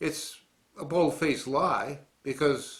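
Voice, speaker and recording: In an American accent, a man with a fairly high pitch and ordinary pitch variation talks in an ordinary speaking voice. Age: 60s. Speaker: war veteran, political commentator. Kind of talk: political commentary monologue.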